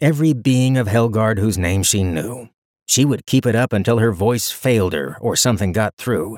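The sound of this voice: The background is quiet behind an unforced reading voice whose pitch varies in an ordinary way.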